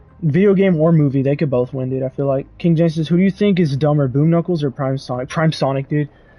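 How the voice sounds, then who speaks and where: Music plays behind a man with a fairly high voice and ordinary pitch variation. He talks at a fairly quick pace. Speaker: gaming streamer. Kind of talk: live gameplay commentary and chat reading. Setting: livestream. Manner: casual, fast.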